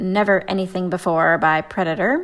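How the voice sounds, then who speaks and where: In a very clean recording with a silent background, a woman has a plain, everyday voice at a medium pitch, speaking at a fairly slow pace with ordinary pitch variation. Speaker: radio host. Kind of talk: radio DJ patter, song back-announcements.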